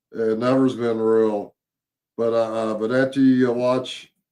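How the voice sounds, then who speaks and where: Speaking with an American accent, a man keeps a moderate pace, a medium pitch and fairly even intonation. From Louisville, Kentucky. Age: 60s. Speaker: Bigfoot researcher. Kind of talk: casual interview. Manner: halting, many fillers.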